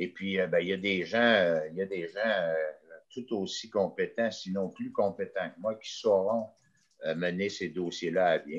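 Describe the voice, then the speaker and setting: A man at a fairly slow pace. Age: 60s. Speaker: mayor. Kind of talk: interview. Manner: halting.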